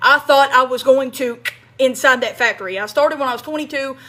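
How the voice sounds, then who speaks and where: Her tone is animated and her pitch high. The woman talks at a fairly quick pace. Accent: Kentucky. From US South, small-town Kentucky. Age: 30s. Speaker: online marketing coach, ex-factory worker. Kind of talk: livestream monologue. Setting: live stream. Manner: animated, repetitive.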